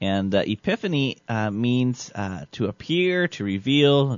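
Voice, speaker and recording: With an unremarkable speaking voice, a man of medium pitch talks at a fairly slow pace with lively intonation. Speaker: radio host. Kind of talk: casual banter, comedic radio show.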